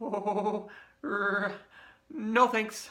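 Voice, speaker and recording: A man does a put-on character voice pitched high. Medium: read story. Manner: nervous, stammering.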